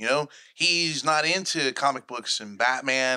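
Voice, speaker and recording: A man with a fairly high pitch and a bright, sharp tone at a very slow pace, on a very clean recording with a silent background. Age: 30s. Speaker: podcast host. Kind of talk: casual chat. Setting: studio.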